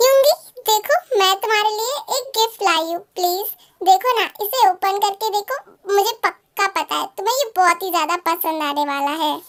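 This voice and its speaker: A woman uses a put-on character voice at an extremely high pitch. She talks at a moderate pace. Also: lively intonation. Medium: read story.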